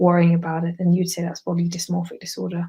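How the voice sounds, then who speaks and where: Speaking fairly quickly, a woman has a fairly low, dark, mellow voice. Her delivery is somewhat breathy, in a flat monotone. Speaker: psychiatry exam revision tutor. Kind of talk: online lecture. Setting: live video webinar. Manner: fast.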